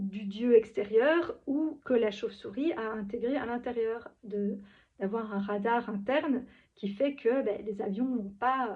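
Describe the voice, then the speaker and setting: This woman's voice is fairly high-pitched, with ordinary pitch variation. She speaks very slowly. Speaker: spiritual vlogger. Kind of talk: improvised monologue. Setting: at home, in pyjamas. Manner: halting.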